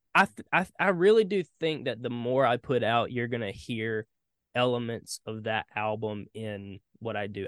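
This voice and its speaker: With a Southern US accent, a man at medium pitch talks at a fairly slow pace with lively intonation, recorded dry and close with no echo. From US South, South Carolina. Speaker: singer-songwriter and producer. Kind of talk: casual interview.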